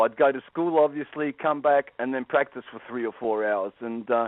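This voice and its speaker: A man with an Australian accent speaks at a fairly high pitch, with ordinary pitch variation. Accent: Australian, noticeable. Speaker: guitar teacher and professional musician. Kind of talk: radio interview. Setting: phone call. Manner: halting, many fillers and repeats.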